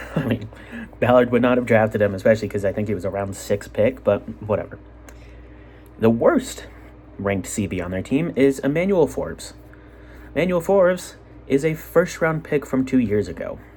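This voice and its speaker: A man with an American accent speaks at a medium pitch in an animated tone, his pitch swinging very widely. Long, frequent pauses break up his speech over noticeable background noise. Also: fairly quick pace. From Utah. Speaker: sports podcaster. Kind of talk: casual solo sports commentary. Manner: animated, rambling asides.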